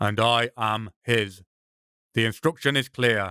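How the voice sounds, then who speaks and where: Using a put-on character voice, a man speaks in a rumbling medium pitch at a fairly slow pace with fairly even intonation, the sound dry and close with no echo. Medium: read story. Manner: terse, threatening.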